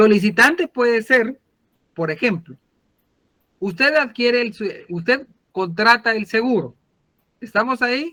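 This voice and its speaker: Here a man speaks in an extremely high voice with lively intonation. His pace is fairly slow, broken by long, frequent pauses. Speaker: law lecturer. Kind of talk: online lecture.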